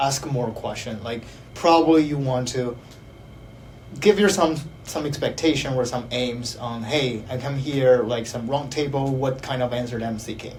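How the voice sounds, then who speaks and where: In a room with audible echo, a man of medium pitch talks at a moderate pace with ordinary pitch variation. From China. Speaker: counseling psychology PhD student. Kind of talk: panel discussion. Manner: halting, many fillers.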